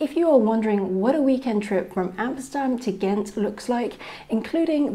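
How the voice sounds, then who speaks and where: Ordinary pitch variation runs through the speech. Its tone is dark and mellow. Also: woman. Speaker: travel vlogger. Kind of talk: travel vlog narration.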